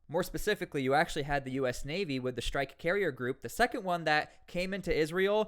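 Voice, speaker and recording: A man talks at a very fast pace with hardly any pauses, his pitch high and his intonation lively. His tone is animated, with an American accent. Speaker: news commentary youtuber. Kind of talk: news commentary monologue.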